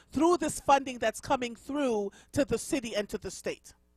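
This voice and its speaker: A woman with a slight Jamaican accent talks at a moderate pace in a high pitch, with ordinary pitch variation and a dry, close sound with no echo. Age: 50s. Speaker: radio host. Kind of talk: radio interview.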